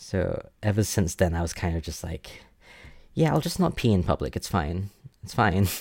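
A man speaks with a very deep, low pitch, somewhat breathy, with lively intonation at a moderate pace. The recording is very clean, the background silent. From Singapore. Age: 20s. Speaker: guest telling personal story. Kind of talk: personal storytelling interview.

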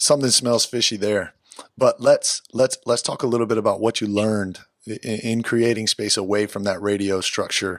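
In a normal speaking voice, a man talks at a moderate pace and medium pitch with fairly even intonation, recorded with a dry, close sound and no echo. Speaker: podcast host, former soccer player. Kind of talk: casual interview.

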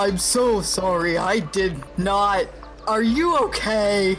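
A booming, put-on character voice, fairly high in pitch, at a very slow pace, over clear background noise. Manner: apologetic, concerned.

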